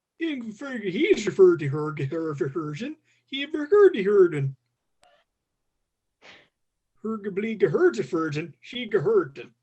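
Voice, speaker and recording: A put-on character voice in a Swedish accent, fairly slow, with very wide pitch swings and long, frequent pauses. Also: man, high pitch for a man. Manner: mock, comedic.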